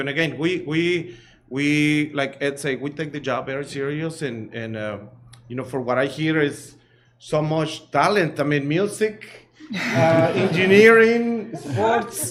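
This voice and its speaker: Here a man speaks at a fairly slow pace. His fairly high voice carries lively intonation. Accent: American. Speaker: cleaning business owner. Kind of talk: public presentation at meeting. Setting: school board meeting. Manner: halting, many fillers and repeats.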